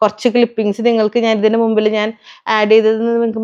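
A woman with a fairly high pitch and an ordinary speaking voice. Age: 30s. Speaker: family vlogger. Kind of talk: casual vlog monologue.

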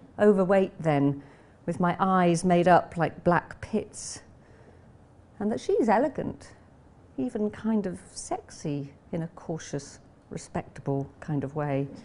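Speaking very slowly with long, frequent pauses, a woman with an English accent has a fairly low pitch. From England. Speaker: novelist. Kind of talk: reading aloud. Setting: classroom with audience, streamed online. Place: classroom. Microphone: podium.

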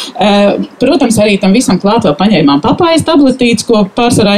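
A woman's voice moves in very wide pitch swings over light background noise. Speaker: nail care specialist; invited storyteller. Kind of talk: testimony. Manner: halting. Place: garden. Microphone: handheld.

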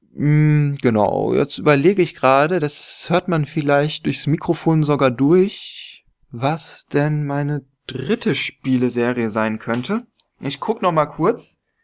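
Everything around the voice is quiet. The delivery is very slow. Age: 20s. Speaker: gaming YouTuber; gaming youtuber. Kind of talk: casual vlog monologue. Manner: hesitant with many fillers. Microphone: studio mic.

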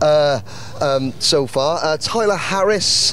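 A man at a slow pace and fairly high pitch, ordinary pitch variation, clear background noise behind him.

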